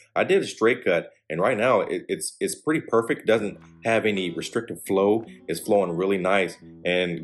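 Faint music sits behind the voice. The speaker is a man. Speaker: cigar reviewer. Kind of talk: product review commentary. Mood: relaxed, appreciative. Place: home room.

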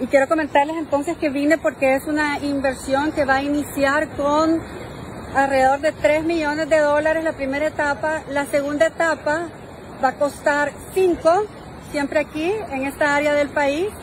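A woman's high voice stays flat and monotone, sounding dry with no echo, while noticeable background noise runs behind it. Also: moderate pace. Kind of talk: casual live-stream chat. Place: beach. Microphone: phone near.

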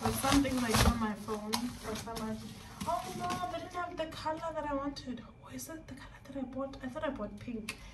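Loud background noise competes with a woman speaking at a fairly quick pace. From South Africa. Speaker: vlogger and kindergarten English teacher. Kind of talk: casual vlog narration. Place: bathroom. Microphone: phone near.

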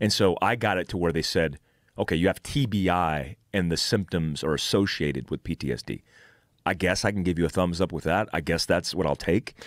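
A man with a very deep, low voice talks at a fairly quick pace with ordinary pitch variation, the sound dry with no echo against a quiet background. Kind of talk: interview answer. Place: studio. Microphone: studio mic.

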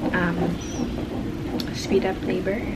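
Loud background noise fills the clip. The speech moves at a fairly slow pace. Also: woman. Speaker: expectant mother vlogger. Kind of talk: casual vlog chat. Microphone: phone near.

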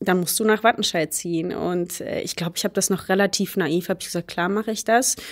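On a very clean recording with a silent background, a woman uses a normal speaking voice at medium pitch with fairly even intonation. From Germany, Baunatal, Hesse. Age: 20s. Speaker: hurdles sprinter. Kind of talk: casual interview.

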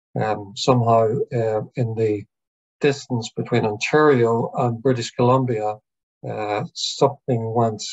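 In an Irish accent, a somewhat breathy voice moves at a fairly slow pace with fairly even intonation against a quiet background. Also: man. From Ireland. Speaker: psychiatrist and professor. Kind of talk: online lecture with Q&A. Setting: video call. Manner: hesitant, many fillers. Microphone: video call.

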